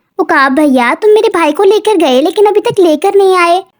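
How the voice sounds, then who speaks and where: An extremely high-pitched cartoonish character voice at a moderate pace. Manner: polite, friendly.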